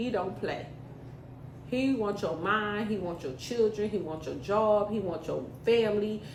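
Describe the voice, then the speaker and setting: An animated woman at medium pitch is heard with audible room echo and noticeable background noise. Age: 30s. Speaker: podcast host. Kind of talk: motivational monologue.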